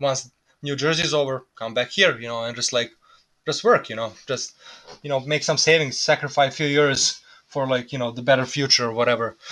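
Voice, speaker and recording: A man with a Serbian accent speaks at a fairly quick pace. His medium-pitched voice has a bright, sharp tone and fairly even intonation. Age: 20s. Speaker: immigrant worker. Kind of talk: casual interview.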